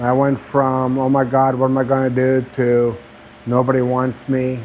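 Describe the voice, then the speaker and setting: Flat, monotone speech is heard with audible room echo and noticeable background noise. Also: man. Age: 60s. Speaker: YouTuber, laid-off engineer. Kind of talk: personal vlog monologue. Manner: conversational, with filler words.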